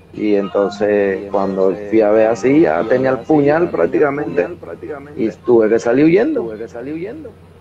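A man speaks with lively intonation and big swings in loudness. Noticeable background noise runs behind him. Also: moderate pace. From Panama, El Chorrillo neighbourhood of Panama City; Panama. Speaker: professional wrestler; interviewee. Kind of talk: interview. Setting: video call. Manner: halting, many repetitions. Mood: reminiscing. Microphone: video call.

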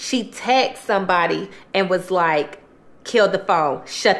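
Ordinary pitch variation in a woman's speech. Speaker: mukbang storyteller. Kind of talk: casual vlog storytelling. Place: home room.

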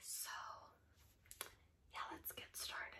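At a fairly slow pace, a woman is whispering. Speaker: ASMR creator. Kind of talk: ASMR casual talk. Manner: whispered. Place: home room.

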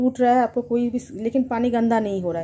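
At a moderate pace, a woman speaks in a fairly high voice with a dark, mellow tone, a slightly husky edge and ordinary pitch variation.

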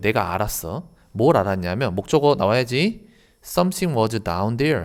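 Recorded very cleanly against a silent background, a man speaks fairly slowly with very wide pitch swings. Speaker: English teacher. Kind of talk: lecture.

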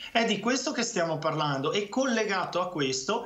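The pitch of this voice swings very widely. It belongs to a man talking at a fairly slow pace. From Veneto, Italy. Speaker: regional councillor and physician. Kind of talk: heated debate. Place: home room. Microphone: video call.

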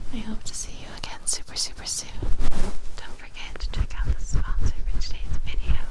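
Amid loud background noise, a soft-spoken woman talks at a fairly quick pace. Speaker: ASMR creator. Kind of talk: soft-spoken ASMR outro. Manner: soft-spoken, lips near the mic. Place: home room. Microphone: studio mic.

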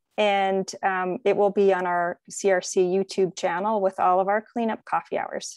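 A woman's monotone, flat delivery, dry with no echo, in a quiet background. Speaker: event organizer hosting a webinar. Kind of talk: webinar host introduction. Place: home room. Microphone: video call.

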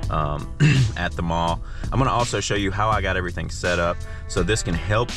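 Clear music plays behind a man whose very deep, low voice moves at a fairly quick pace with ordinary pitch variation, the sound dry with no echo. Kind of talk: casual vlog chat. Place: car. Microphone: phone near.

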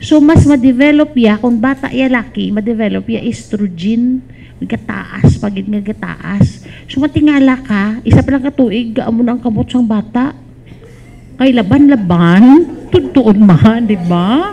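Over light background noise, a woman speaks with a fairly high pitch and lively intonation. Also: fairly slow pace. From Western Visayas, Philippines. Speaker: school principal and speaker; speaker. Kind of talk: talk at a parish formation session. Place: hall. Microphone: handheld.

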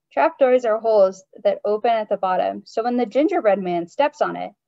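Natural-voiced reading aloud with lively intonation against a quiet background

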